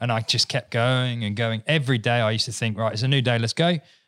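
On a very clean recording with a silent background, a man with an English accent speaks at a medium pitch and a very fast pace, with fairly even intonation. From England. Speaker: business owner. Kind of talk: casual chat.

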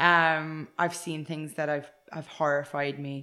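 In a very clean recording with a silent background, a woman's bright, sharp voice sits very deep and low, with monotone, flat intonation. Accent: Irish. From western Ireland, near Galway. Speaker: equestrian centre instructor. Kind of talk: interview.

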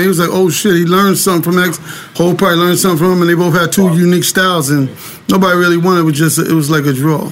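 A man with an American accent and a high pitch speaks at a very fast pace with fairly even intonation and very even loudness. Audible room echo and noticeable background noise are present. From New York City, Harlem. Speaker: record label associate. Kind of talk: casual interview chat.

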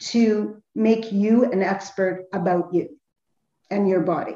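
Dark, mellow tone and a somewhat breathy quality in a female voice. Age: 50s. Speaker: health and nutrition counselor. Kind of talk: interview. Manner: halting.

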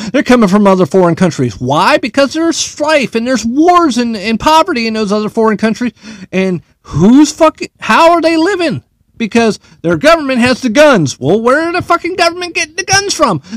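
In a dry, close sound with no echo, a man with an American accent speaks at an extremely high pitch with very wide pitch swings. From United States. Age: 50s. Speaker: podcast host, military veteran. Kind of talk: solo rant. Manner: animated.

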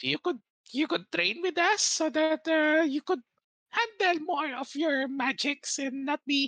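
A female-sounding voice performs a put-on character voice. The delivery is very slow. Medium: actual play. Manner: polite, slightly hesitant.

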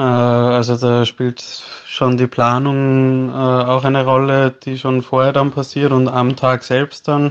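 A man speaks at medium pitch and a very slow pace. His intonation is monotone and flat. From Austria, Salzburg. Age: 20s. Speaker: landscape photographer, content creator. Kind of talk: interview.

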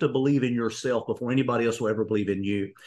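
This man has an Appalachian accent and lively intonation. The background is quiet. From eastern Kentucky. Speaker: executive coach and speaker. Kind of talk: interview.

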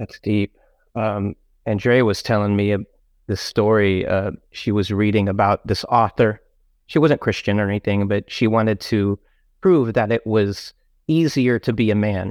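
Recorded with a dry, close sound and no echo, a man speaks at a moderate pace. His pitch is fairly low and his intonation fairly even. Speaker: podcast host. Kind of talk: casual interview chat. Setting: remote call. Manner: laid back.

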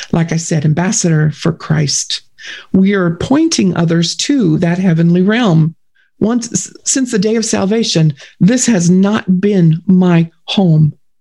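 Somewhat breathy and dark, mellow in tone, a woman's voice moves at a very slow pace with ordinary pitch variation. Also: medium pitch for a woman, very even loudness. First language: German. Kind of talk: faith testimony interview.

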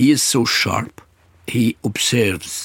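The voice carries an Arabic accent. It sounds somewhat breathy. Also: man. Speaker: actor. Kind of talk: interview. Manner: halting.

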